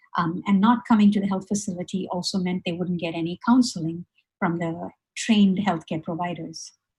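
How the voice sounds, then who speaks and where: A woman talks at a fairly quick clip with a medium pitch and a somewhat breathy sound. Her intonation stays fairly even. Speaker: webinar presenter. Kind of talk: presentation. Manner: fast; halting, many fillers.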